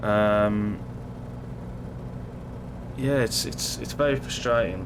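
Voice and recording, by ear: A man speaks slowly with a fairly low pitch and ordinary pitch variation. Clear background noise can be heard.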